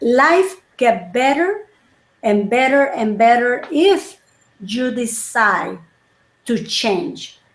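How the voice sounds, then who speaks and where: With long, frequent pauses, a woman speaks very slowly at a high pitch, her voice swinging very widely in pitch. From El Salvador. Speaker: wellness coach. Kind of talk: interview chat.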